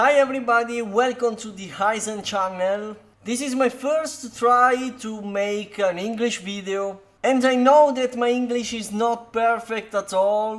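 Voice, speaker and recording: Speaking in an Italian accent at a fairly slow pace, a man with an extremely high pitch keeps a fairly even intonation while his loudness swings widely. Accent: non-native, Italian. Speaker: card game content creator. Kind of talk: deck tech tutorial. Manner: halting, many fillers.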